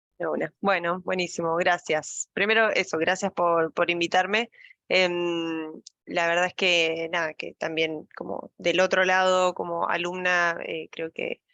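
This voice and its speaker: A woman speaks at a fairly low pitch with a bright, sharp tone and monotone, flat intonation. The sound is dry and close with no echo, over a quiet background. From Argentina, La Pampa. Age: 30s. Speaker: data science lead. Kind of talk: casual talk to online audience.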